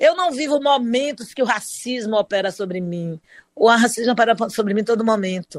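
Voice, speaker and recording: In a plain, everyday voice, a woman with a fairly high pitch talks at a moderate pace with lively intonation. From Brazil, Salvador (Bahia). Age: 60s. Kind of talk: interview.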